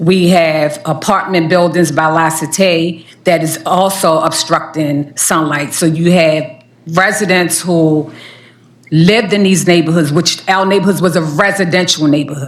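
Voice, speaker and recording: A woman with a fairly low pitch speaks at a fairly slow pace, with fairly even intonation and very even loudness, and audible room echo. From Baltimore, inner city. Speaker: community resident testifying. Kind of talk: public testimony.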